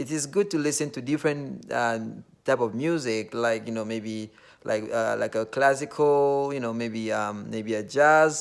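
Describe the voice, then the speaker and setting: In a very clean recording with a silent background, a man with a Nigerian accent speaks at medium pitch and a moderate pace, using ordinary pitch variation. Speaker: vlogger. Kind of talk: casual monologue. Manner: hesitant, filler-heavy.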